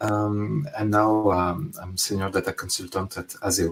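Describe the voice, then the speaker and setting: A man with a strong French accent, fairly low in pitch, at a moderate pace. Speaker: data consultant. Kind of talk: conference talk. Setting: remote online conference. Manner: halting, many fillers.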